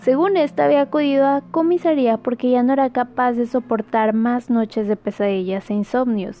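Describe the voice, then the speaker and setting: Music plays in the background as a woman speaks at a moderate pace with hardly any pauses. Her pitch is high, her intonation lively, and her loudness very even. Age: 20s. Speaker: true crime podcast host. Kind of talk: casual storytelling of a crime case. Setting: home recording with computer in front.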